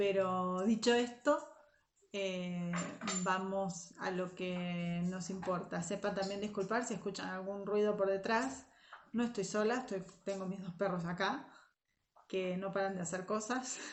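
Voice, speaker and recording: Fairly slow, fairly even speech from a woman of medium pitch, with audible room echo. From Argentina, Zárate. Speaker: Sunday school and youth teacher. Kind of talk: devotional talk to young women. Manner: hesitant, many fillers.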